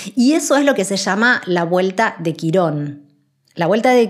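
Lively intonation from a woman at a medium pitch. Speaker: spiritual podcast host. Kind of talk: spiritual monologue.

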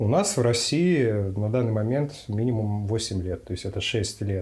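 Speaking at a fairly slow pace, a man uses a fairly low pitch with ordinary variation and a dark, mellow, somewhat breathy tone. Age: 20s. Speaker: psychiatrist. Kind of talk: interview answers. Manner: formal.

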